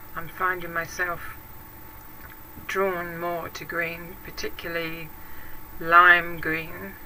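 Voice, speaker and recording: A woman with a British accent, very slow and monotone with flat intonation, amid noticeable background noise and audible room echo. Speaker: craft YouTuber. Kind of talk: casual vlog talk answering tag questions. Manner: hesitant, with many fillers.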